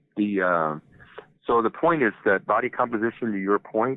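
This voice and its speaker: Moderate pace and ordinary pitch variation in a normal speaking voice. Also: man. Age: 60s. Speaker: health company founder and CEO. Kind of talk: podcast interview. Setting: phone call.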